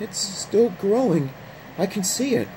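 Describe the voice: In a shaky, put-on character voice at a middle pitch, the speaker goes at a fairly slow pace over noticeable background noise.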